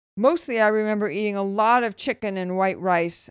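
In a very clean recording with a silent background, a woman with a fairly high pitch speaks at a moderate pace, the sound dry and close with no echo. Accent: Californian. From US West Coast, Los Angeles. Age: 60s. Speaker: health podcast host. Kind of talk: casual personal monologue.

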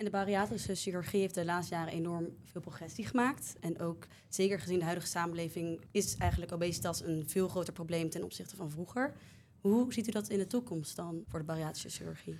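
A woman speaks at a very fast pace. Her pitch is fairly low, with ordinary variation. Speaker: medical student podcast host. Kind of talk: interview.

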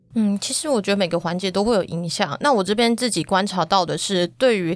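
On a very clean recording with a silent background, a woman talks at a fairly quick pace with ordinary pitch variation in an unremarkable speaking voice. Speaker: agriculture reporter. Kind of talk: podcast interview.

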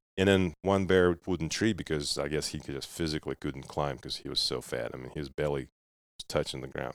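Over a very clean, silent background with a dry, close sound and no echo, a man with a very deep, low pitch and vocal fry talks at a fairly quick pace, with ordinary pitch variation and big swings in loudness. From Russia. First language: Russian. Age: 30s. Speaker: dog breeder and hunter. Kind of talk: casual interview chat. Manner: halting.

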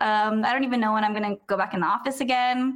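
A woman speaks with a Californian accent. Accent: Californian American. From San Diego, California. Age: 20s. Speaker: food content creator. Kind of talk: casual interview.

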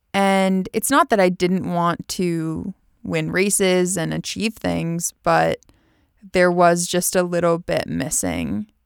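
A woman with an American accent talks at a very slow pace, and the very clean recording has a silent background and a dry, close sound with no echo. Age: 30s. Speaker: olympic rower and podcast host. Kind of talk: personal monologue.

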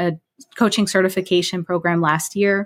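A woman with an American accent uses a plain, everyday voice at medium pitch. Her intonation stays fairly even, and the recording is very clean with a silent background. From New Jersey. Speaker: spiritual life coach. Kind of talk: interview conversation.

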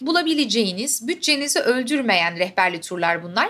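A woman's high-pitched voice, bright and sharp in tone, with very wide pitch swings. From Istanbul, Turkey. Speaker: podcast host. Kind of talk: travel diary monologue. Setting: hotel room.

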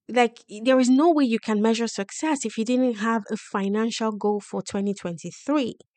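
At a moderate pace and with hardly any pauses, a woman speaks at a fairly high pitch. Her pitch variation is ordinary, against a quiet background. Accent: strong Nigerian. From Nigeria. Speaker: podcast host on personal finance. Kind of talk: motivational solo podcast monologue.

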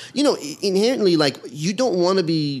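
A man at a moderate pace, with lively intonation. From Iran, raised in Los Angeles (Canoga Park). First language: Persian. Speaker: actor and comedian, amateur boxer. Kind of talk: casual chat.

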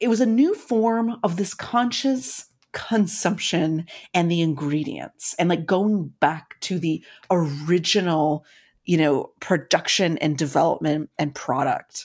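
Over a very clean recording with a silent background, a woman with an unremarkable speaking voice talks fairly slowly at a fairly low pitch, her intonation lively. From US Midwest (Madison, Wisconsin). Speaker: podcast co-host. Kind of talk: casual chat.

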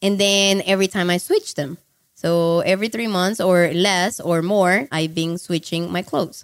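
A woman with a Colombian accent. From Cali, Colombia. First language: Spanish. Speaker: online marketing entrepreneur. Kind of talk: interview. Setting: recorded in Cali, Colombia.

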